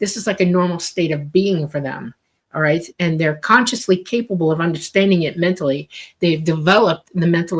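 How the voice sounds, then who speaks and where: A woman speaks at a fairly quick pace in a plain, everyday voice, her fairly low pitch showing ordinary variation. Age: 60s. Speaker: UFO experiencer and author. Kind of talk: interview. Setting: live radio show.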